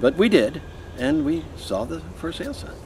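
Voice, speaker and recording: Through noticeable background noise, a man speaks at a moderate pace with lively intonation. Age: 80s+. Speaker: homeowner. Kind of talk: interview answer.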